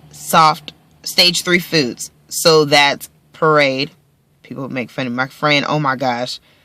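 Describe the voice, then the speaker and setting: A woman with a very deep, low pitch speaks at a very slow pace, her tone bright and sharp and her intonation fairly even. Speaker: vlogger. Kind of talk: casual vlog. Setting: in a car. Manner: stumbling over words.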